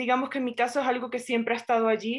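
A woman against a quiet background. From Venezuela. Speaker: writer and poet. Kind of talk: literary interview.

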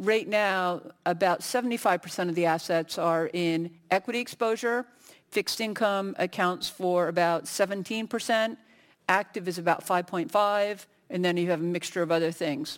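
A woman with a plain, everyday voice speaks at a medium pitch and a fairly slow pace, with ordinary pitch variation and very even loudness, on a very clean recording with a silent background. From United States. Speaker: industry researcher on a conference panel. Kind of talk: panel discussion.

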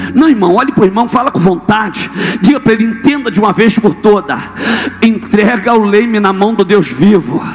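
Against noticeable background noise, a man talks in an animated tone at a fairly quick pace, high in pitch with ordinary pitch variation. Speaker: preacher. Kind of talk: sermon to a live congregation, call-and-response. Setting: church with audience, screen for reading. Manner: animated, forceful, rhetorical repetition; exhorting, rhythmic, building in intensity.

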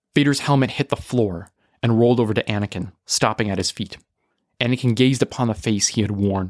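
Someone is reading aloud in a natural voice, with ordinary pitch variation and a quiet background.

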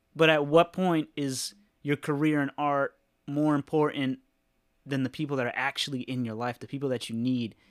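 A plain, everyday voice with an American accent, fairly even intonation and a moderate pace, on a very clean recording with a silent background. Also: man, fairly high pitch for a man. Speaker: tattoo artist. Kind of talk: casual chat. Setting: hanging out playing video games.

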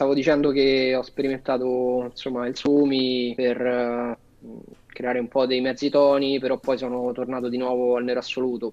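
This man talks at a moderate pace, his pitch medium. His intonation is flat and monotone. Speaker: tattoo artist. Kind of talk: casual chat.

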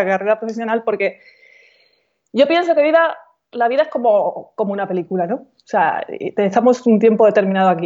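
At a fairly quick pace, a woman with a plain, everyday voice and a fairly high pitch speaks with ordinary pitch variation. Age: 40s. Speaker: coach and author. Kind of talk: casual interview.

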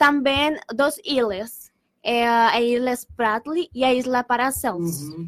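A woman speaks in a Spanish accent at a high pitch. Her pace is very slow. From Colombia, Bogotá. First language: Spanish (speaking Portuguese). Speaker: exchange student. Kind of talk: student presentation on radio. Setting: radio studio. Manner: halting.

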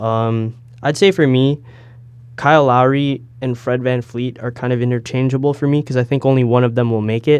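A man with a Toronto accent, medium pitch and fairly even intonation, at a fairly quick pace. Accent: Toronto Canadian English. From Canada, Toronto area (Brampton). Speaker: podcast host, journalism student. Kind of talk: casual chat.

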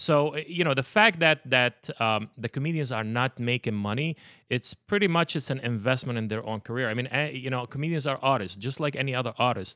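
A man with an Arabic accent, on a very clean recording with a silent background. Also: medium pitch for a man, ordinary pitch variation, fairly quick pace. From Palestine. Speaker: former talent manager. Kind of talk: casual chat.

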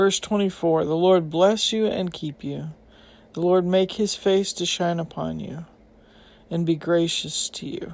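Her loudness swinging widely, a woman with a fairly low pitch speaks at a fairly slow pace with fairly even intonation. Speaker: Bible podcast host. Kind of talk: fervent prayer; Bible teaching monologue. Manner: earnest, heartfelt, reverent; conversational, slightly halting.

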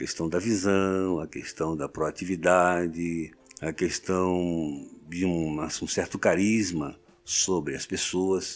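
The delivery is monotone and flat, at a very slow pace. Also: man, very deep, low pitch for a man. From Rio de Janeiro, Brazil. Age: 70s. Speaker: pastor. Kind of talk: interview. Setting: studio.

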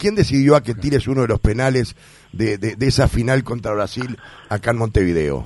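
A man's somewhat breathy, medium-pitched voice with a Uruguayan accent, at a fairly quick pace. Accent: Rioplatense Spanish (Uruguayan). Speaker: sports radio host. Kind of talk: radio interview.

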